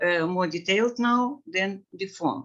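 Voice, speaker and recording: A woman with a non-native accent speaks at a very slow pace. Her tone is bright and sharp, with ordinary pitch variation. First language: Russian. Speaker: plant breeding researcher. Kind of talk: webinar presentation. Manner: halting, many fillers.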